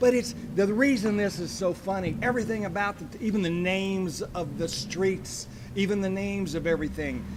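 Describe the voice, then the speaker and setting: A man at a high pitch and fairly quick pace, with ordinary pitch variation and hardly any pauses, amid noticeable background noise and audible room echo. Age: 60s. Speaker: comedian and show producer. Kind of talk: casual chat. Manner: animated.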